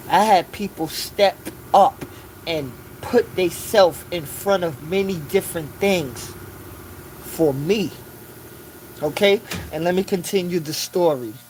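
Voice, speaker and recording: A high-pitched man at a fairly slow pace, with long, frequent pauses, ordinary pitch variation and noticeable background noise. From New York City, South Bronx. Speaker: live streamer. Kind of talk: livestream monologue, storytelling. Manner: casual, conversational.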